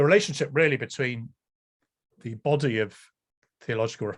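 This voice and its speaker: A man speaks with an English accent and ordinary pitch variation. The background is quiet. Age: 60s. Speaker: professor and priest. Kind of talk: lecture. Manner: hesitant, many ums.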